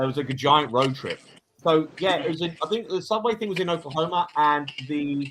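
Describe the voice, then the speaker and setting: Moving at a fairly quick pace, a man speaks in a fairly high pitch with ordinary pitch variation. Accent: English. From England. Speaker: paranormal YouTuber. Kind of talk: casual chat. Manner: halting, repeats words.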